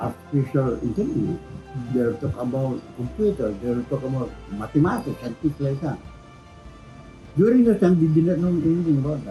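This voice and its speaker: Music plays behind a man who talks at a fairly quick pace in a fairly high pitch, with very wide pitch swings and long, frequent pauses. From Philippines. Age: 80s+. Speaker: Freemason. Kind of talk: interview answer.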